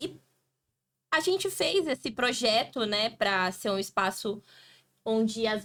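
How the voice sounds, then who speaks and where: At a fairly slow pace, a woman talks in a fairly high pitch with an unremarkable speaking voice. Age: 20s. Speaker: podcast host. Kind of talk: podcast introduction.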